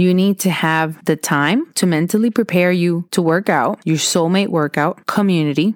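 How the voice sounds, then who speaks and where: On a very clean recording with a silent background, a woman speaks at a fairly low pitch and moderate pace with ordinary pitch variation, the sound dry and close with no echo. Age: 40s. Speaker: podcast host. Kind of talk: motivational talk. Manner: animated.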